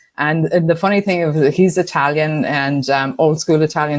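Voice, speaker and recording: A woman with an Irish accent, very deep and low in pitch, fairly quick, with fairly even intonation and a quiet background. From Ireland, Tuam, County Galway. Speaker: business owner. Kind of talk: interview.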